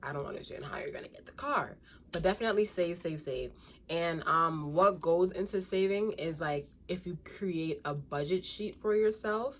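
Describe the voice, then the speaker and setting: At a moderate pace and medium pitch, a woman talks with a New York accent, ordinary pitch variation and big swings in loudness. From Brooklyn, New York. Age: 20s. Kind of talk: casual advice talk to camera.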